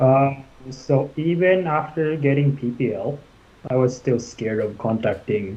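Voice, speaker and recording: A man with a Japanese accent speaks at a medium pitch, somewhat breathy. His pace is fairly slow. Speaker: commercial pilot. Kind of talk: interview. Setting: live stream. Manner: halting.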